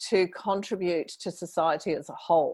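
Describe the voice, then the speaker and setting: A woman with a British accent at a moderate pace, in a very clean recording with a silent background. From UK. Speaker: menopause podcaster. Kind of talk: interview conversation. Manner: animated.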